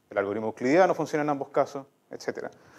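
A man with a normal speaking voice at a fairly quick pace, with ordinary pitch variation and a quiet background. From southern Chile, La Unión (Los Ríos); Los Ríos, Chile. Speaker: mathematician; speaker. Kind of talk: lecture. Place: hall.

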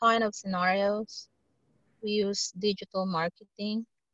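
Her medium-pitched voice flat and monotone, a woman speaks at a very slow pace. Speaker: student. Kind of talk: casual chat. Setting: video call. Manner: halting.

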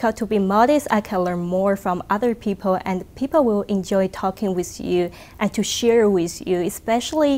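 A woman with a Chinese accent speaks at a moderate pace and medium pitch, with ordinary pitch variation. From China. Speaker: research engineer. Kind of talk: interview answer. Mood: calm, thoughtful, friendly. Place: hall. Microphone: lapel.

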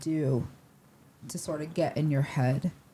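Somewhat breathy and very deep in pitch, a woman with an American accent speaks at a moderate pace with fairly even intonation over light background noise. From upstate New York. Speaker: podcast host. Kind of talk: casual interview. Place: studio. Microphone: handheld.

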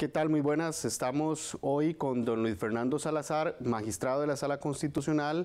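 At a moderate pace, a man speaks with hardly any pauses, very even loudness, ordinary pitch variation and a fairly high pitch. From Costa Rica. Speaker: news reporter. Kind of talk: news interview. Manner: formal. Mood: calm, formal. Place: office. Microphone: lapel.

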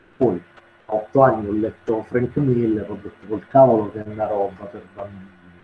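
A man's fairly low-pitched voice at a moderate pace, with fairly even intonation and big swings in loudness. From Taranto, southern Italy. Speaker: comic artist, guest lecturer. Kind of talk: lecture.

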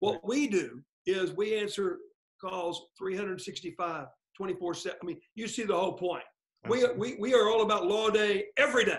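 With lively intonation and an American accent, a high-pitched man speaks over a quiet background. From Oklahoma. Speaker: lawyer and former state attorney general; lawyer, former state attorney general. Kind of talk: interview. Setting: video call. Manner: fast talker; animated. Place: home room. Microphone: webcam.

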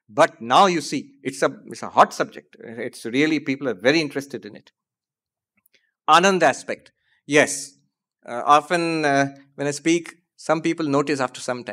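A man speaks fairly quickly in a bright, sharp tone. The background is quiet. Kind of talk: lecture answer to audience question. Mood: light, humorous. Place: hall. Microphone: podium.

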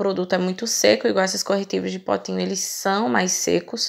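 A woman's voice, with ordinary pitch variation, is set against a quiet background. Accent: Brazilian. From Brazil. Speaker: makeup artist. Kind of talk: tutorial. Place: shop.

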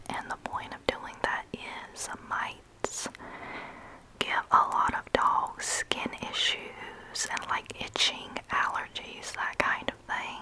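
Whispering, a woman speaks at a very slow pace. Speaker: home vlogger. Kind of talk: casual vlog chat. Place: home room. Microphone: earbuds.

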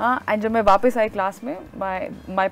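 Over faint music in the background, a woman with a fairly high pitch speaks in a dry sound with no echo. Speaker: interview guest. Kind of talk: interview answer. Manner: casual, anecdotal storytelling. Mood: animated, amused storytelling. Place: studio.

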